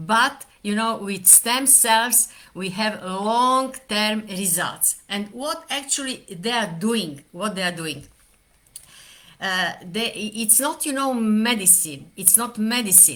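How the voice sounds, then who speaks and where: This woman has a bright, sharp tone and a fairly high pitch. She speaks at a very slow pace. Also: lively intonation. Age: 70s. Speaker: doctor. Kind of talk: talk to camera. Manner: halting, many fillers.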